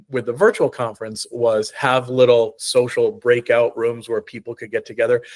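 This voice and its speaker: A man talks with a slight New England accent. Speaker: choral conductor and university music director. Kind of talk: interview conversation. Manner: halting, frequent fillers and repetitions.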